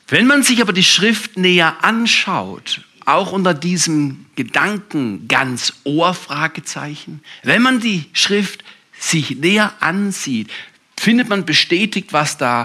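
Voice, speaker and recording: This man talks at a very slow pace, his pitch swinging very widely. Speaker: pastor. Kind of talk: sermon. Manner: animated.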